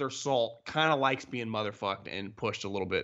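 A man talks with a West Coast US accent. His pace is moderate. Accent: General American (West Coast). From Northern California. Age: 30s. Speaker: sports podcast host. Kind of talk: casual interview chat.

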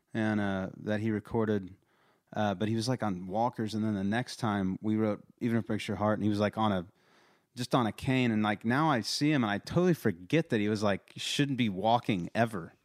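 Speech with a Texas accent moves at a fairly quick pace with ordinary pitch variation, on a very clean recording with a silent background and a dry, close sound with no echo. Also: man, fairly low pitch for a man. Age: 30s. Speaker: songwriter and country artist. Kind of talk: casual chat. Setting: home studio. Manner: halting.

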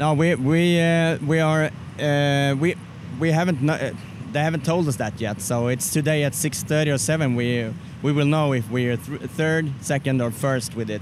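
Amid noticeable background noise, a man with a Swedish accent talks at a moderate pace, using a fairly high pitch with ordinary variation. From Sweden. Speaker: barbecue competitor. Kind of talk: casual interview. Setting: outdoors at barbecue festival.

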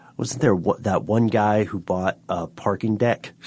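A man speaks with a fairly low pitch. His tone is dark and mellow. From Tennessee. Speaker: car podcast co-host. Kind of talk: casual chat. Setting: studio.

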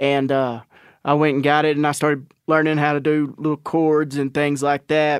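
The delivery comes at a moderate pace with monotone, flat intonation, in a very clean recording with a silent background. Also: man, fairly high pitch for a man, dry, close sound with no echo. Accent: Southern US. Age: 30s. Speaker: country rock musician. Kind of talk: casual chat.

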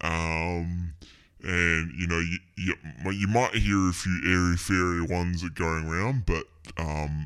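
This man has a very deep, low pitch and talks at a very slow pace. The recording is very clean, with a silent background. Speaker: podcast host. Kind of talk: casual solo outro. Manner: animated.

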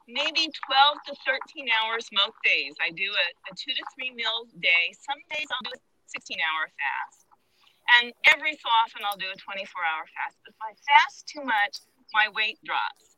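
A woman with a normal speaking voice talks at a fairly slow pace and fairly high pitch, with lively intonation and big swings in loudness. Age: 60s. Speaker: listener asking a question. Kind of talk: audience question. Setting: outdoors, walking.

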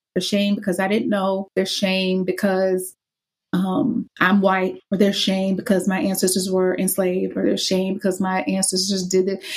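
In an American accent, a somewhat breathy woman speaks at a medium pitch and moderate pace with monotone, flat intonation. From US South. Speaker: anti-racism curriculum specialist and author. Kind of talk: interview. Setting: video call.

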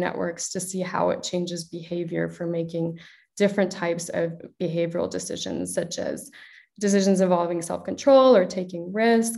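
A woman with a Midwestern accent talks at a moderate pace in a medium pitch. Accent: American, Midwestern. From Chicago, US. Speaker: neuroscientist and startup co-founder. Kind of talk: interview conversation.

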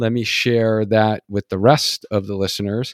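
A man with a normal speaking voice talks in a fairly low pitch with fairly even intonation, the sound dry and close with no echo in a very clean recording with a silent background. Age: 40s. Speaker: running physical therapist and podcast host. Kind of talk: casual interview chat.

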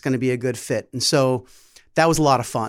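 An unremarkable speaking voice goes at a fairly quick pace on a very clean recording with a silent background. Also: man. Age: 40s. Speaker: head of business development, former wholesaler. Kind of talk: casual interview.

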